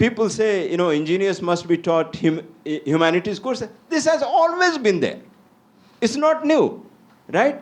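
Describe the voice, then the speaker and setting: A man speaks at a fairly slow pace in a high voice with very wide pitch swings. His loudness stays very even. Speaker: university leader on an education panel. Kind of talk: panel discussion. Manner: animated.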